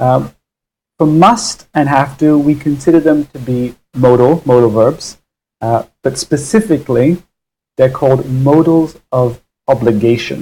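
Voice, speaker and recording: A man with an American accent speaks at a fairly slow pace, fairly high in pitch with ordinary variation. His voice is somewhat breathy, with a dark, mellow tone. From US Northeast (Connecticut), raised from age 3 by English parents. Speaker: English teacher. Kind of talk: live online English lesson. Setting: livestream. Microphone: poor audio quality.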